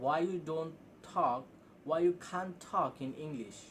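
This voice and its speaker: A man's fairly high-pitched voice with ordinary pitch variation. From Bangladesh. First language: Bengali. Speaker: English teacher on video channel. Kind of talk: casual spoken lesson. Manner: halting, with self-corrections.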